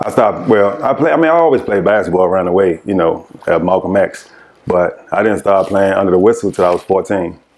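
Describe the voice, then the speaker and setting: With an American accent, a man talks at a very fast pace in a fairly low pitch with ordinary pitch variation and very even loudness, over noticeable background noise. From Washington DC, Congress Park. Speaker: former pro basketball player. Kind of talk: interview.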